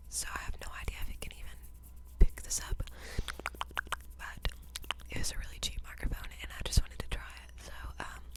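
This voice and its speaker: Whispering at a fairly quick pace, with big swings in loudness, long, frequent pauses and noticeable background noise. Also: woman. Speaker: college student. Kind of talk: ASMR whisper ramble. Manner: whispered.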